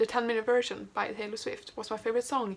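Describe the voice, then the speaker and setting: A woman with a Swedish accent and a fairly high pitch, over noticeable background noise. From Sweden. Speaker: booktuber, aspiring writer. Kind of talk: casual chat, get-to-know-me tag video.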